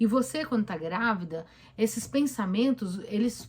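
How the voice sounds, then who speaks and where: A woman talks with a fairly high pitch and lively intonation. Her voice is somewhat breathy, and her pace is moderate. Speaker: therapist. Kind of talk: live stream Q&A talk. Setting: live stream on camera. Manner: conversational, with hesitations.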